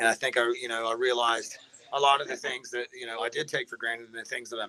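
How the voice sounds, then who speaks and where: A man talks with an Appalachian accent at a medium pitch. His intonation is monotone and flat. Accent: Appalachian American. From West Virginia. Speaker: hard rock band musician. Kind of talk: casual chat.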